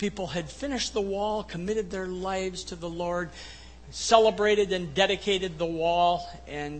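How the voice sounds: Just a natural reading voice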